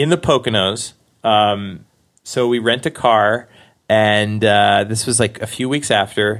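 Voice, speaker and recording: In an American accent, a man with an unremarkable speaking voice talks at a fairly low pitch and a fairly slow pace. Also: ordinary pitch variation, very clean recording, silent background. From Queens, New York. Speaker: actor and stand-up comedian. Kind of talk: casual interview storytelling.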